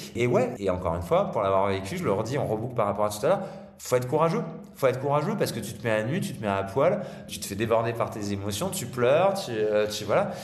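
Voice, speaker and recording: Amid noticeable background noise and audible room echo, a man with medium pitch talks at a very fast pace in an energetic tone with very wide pitch swings. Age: 40s. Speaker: father and speaker on fathers' mental health. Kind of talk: podcast interview.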